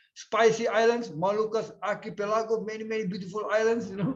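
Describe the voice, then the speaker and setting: A man speaks very fast in a high, flat monotone, his loudness swinging widely amid audible room echo. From eastern Indonesia, Ambon. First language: Indonesian. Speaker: physics professor, keynote speaker. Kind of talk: conference lecture.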